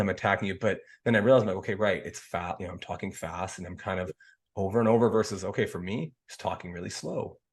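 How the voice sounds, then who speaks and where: Against a quiet background, a man speaks at a very fast pace in a somewhat breathy voice, his loudness swinging widely. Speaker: podcast host. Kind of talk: casual chat.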